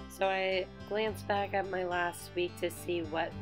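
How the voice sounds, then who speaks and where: A woman is talking fairly slowly. Behind her, music can be heard. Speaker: bullet journal creator. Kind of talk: casual tutorial voiceover.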